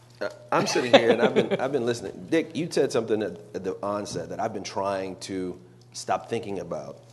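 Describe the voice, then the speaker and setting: A man talks at a fairly quick pace with big swings in loudness while music plays in the background. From Louisiana. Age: 40s. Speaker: former politician, panelist. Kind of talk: panel discussion.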